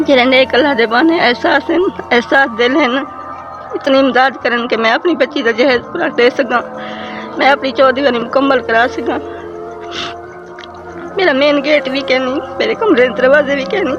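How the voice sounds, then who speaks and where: With music in the background, a woman speaks at a high pitch with ordinary pitch variation. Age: 60s. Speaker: poor widow. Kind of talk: interview answer.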